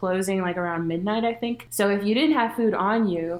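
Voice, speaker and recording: A woman talks at a fairly quick pace with a medium pitch. Her pitch varies in an ordinary way, and there is noticeable background noise. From Latin America. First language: Spanish. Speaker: podcast host. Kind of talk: casual chat.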